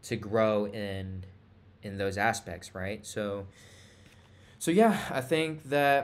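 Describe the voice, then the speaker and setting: A man with a fairly low voice and ordinary pitch variation, very slow, with long, frequent pauses and audible room echo. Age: 20s. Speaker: entrepreneur vlogger. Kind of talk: casual vlog monologue. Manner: halting, many fillers and repeats.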